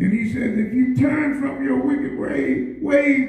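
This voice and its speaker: A man with an extremely high pitch talks at a very slow pace, with audible room echo around him. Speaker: pastor. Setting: church. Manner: repetitive, emphatic bursts with constant amens and yeahs; rousing, exhorting the congregation to respond. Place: church. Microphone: camera far.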